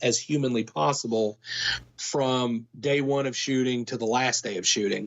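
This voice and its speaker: A man with an American accent uses a normal speaking voice, medium pitch, fairly even intonation, and a moderate pace. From Kentucky, United States. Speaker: film producer. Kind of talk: interview answer. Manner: conversational, casual.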